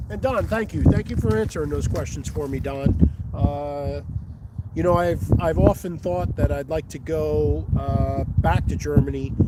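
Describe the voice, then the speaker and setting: There is noticeable background noise behind the speaker. A man talks at a fairly slow pace. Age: 50s. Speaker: fishing vlogger. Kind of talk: live stream commentary. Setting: outdoors on a riverbank. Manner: casual, halting with fillers.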